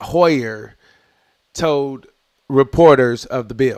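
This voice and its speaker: With ordinary pitch variation, a man speaks at a very slow pace. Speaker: political streamer. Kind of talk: livestream news commentary.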